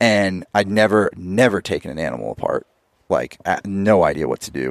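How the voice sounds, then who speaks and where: A man with an American accent speaks at a moderate pace, his fairly low voice showing vocal fry. The sound is dry and close with no echo. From California, Eastern Sierra. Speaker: professional snowboarder and hunter. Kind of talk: casual chat.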